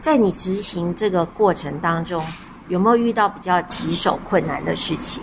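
Noticeable background noise sits behind a woman speaking with a Taiwanese accent. Her pitch is medium and her intonation lively. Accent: Taiwanese Mandarin. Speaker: podcast host. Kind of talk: interview. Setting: on location at a community cafe.

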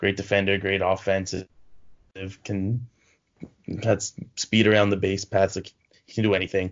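In a Toronto accent, a man with a fairly low pitch speaks in a monotone, flat way. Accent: Canadian (Toronto). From Canada (Toronto). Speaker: sports podcast co-host. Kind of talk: casual chat.

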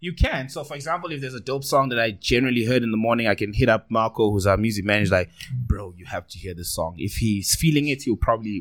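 Speaking very fast with hardly any pauses, in a South African accent, the voice has lively intonation and big swings in loudness. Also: man, medium pitch for a man. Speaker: radio DJ and TV presenter. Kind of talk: casual chat. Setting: studio.

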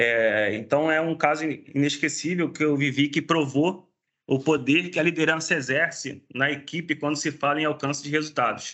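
This man talks at a moderate pace with fairly even intonation and very even loudness. His voice sits fairly high in pitch. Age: 40s. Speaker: special effects technician. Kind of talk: casual chat. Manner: halting.

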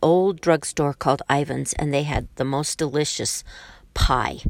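A woman with an American accent and a very deep, low pitch speaks at a fairly slow pace with ordinary pitch variation, in a dry, close sound with no echo on a very clean recording with a silent background. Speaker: grandmother, former hairdresser. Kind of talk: casual family recording. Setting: in a car in the garage.

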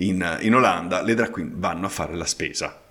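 An unremarkable speaking voice with ordinary pitch variation keeps to a moderate pace. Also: man. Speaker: podcast host. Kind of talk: casual chat.

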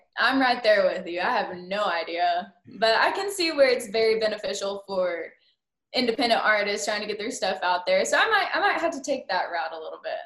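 The speaker has an American accent. Their intonation is lively. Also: woman, fairly high pitch for a woman. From Oklahoma. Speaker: country musician. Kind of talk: interview.

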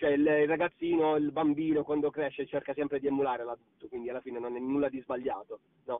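Very fast, fairly high-pitched speech from a man, his intonation fairly even. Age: young. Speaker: singer. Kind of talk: interview. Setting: recorded call.

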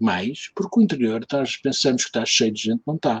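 A man with a Lisbon accent speaks at a moderate pace with lively intonation, recorded in a dry, close sound with no echo. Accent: European Portuguese, Lisbon. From Lisbon, Portugal. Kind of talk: casual chat.

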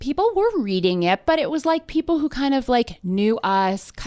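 A woman with a normal speaking voice at a moderate pace, on a very clean recording with a silent background. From Canada, near Toronto. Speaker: media entrepreneur and editor. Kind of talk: casual interview. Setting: in person, face to face.

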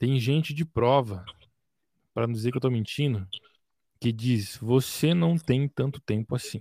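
Speaking at a moderate pace with long, frequent pauses, a man uses a medium-pitched, dark, mellow, somewhat breathy voice with ordinary pitch variation, heard in a dry, close sound with no echo. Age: 20s. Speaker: music producer.

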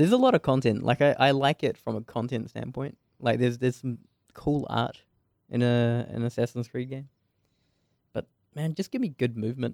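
A man with a New Zealand accent and medium pitch, fairly quick yet with long, frequent pauses, fairly even in intonation, the sound dry and close with no echo. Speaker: game developer. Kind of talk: casual chat.

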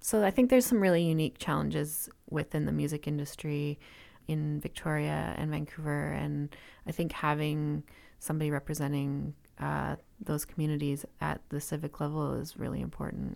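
Here a woman speaks with a Western Canadian accent. Her pace is moderate. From Canada, interior of British Columbia (Kelowna). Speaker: music venue owner. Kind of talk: interview conversation.

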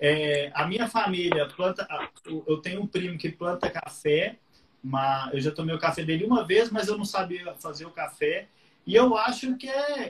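Over noticeable background noise, a man with a high pitch talks fairly slowly using lively intonation. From Minas Gerais, Brazil (Patos de Minas). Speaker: guitar teacher. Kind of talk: casual interview.

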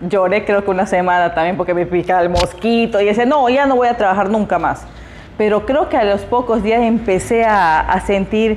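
Noticeable background noise sits behind a woman's fairly high voice. She talks at a fairly quick pace with ordinary pitch variation. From Peruvian Amazon, Iquitos. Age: 30s. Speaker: preschool teacher and activist. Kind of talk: interview.

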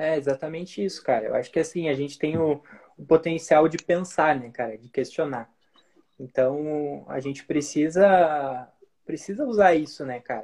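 A man talks at a moderate pace with ordinary pitch variation. His pitch is fairly high, in an ordinary speaking voice. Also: big swings in loudness. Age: 20s. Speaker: marketing strategist. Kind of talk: casual interview chat. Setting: Instagram live recording.

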